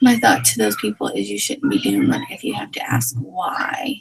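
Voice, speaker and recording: Bright and sharp in tone, a woman with an American accent speaks with lively intonation. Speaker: direct sales team leader. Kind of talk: team meeting livestream. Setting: video livestream. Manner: casual, rambling.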